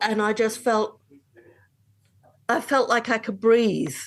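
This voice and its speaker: A woman speaks at a very slow pace with an English accent. Her fairly high voice keeps a fairly even intonation. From England. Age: 60s. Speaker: long-distance hiker. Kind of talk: interview. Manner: halting.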